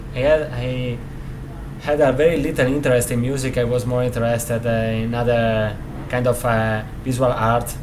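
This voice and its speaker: Over noticeable background noise and audible room echo, a man with an Italian accent speaks at a moderate pace and medium pitch in a flat monotone. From Italy, Rovigo (Veneto). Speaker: guitarist. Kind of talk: interview. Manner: halting, many fillers.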